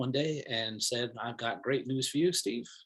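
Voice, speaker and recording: A man of medium pitch with an American accent. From Brooklyn, New York City (Bensonhurst). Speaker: professor. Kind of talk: self-introduction at online faculty meet and greet. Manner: frequent fillers and hesitations.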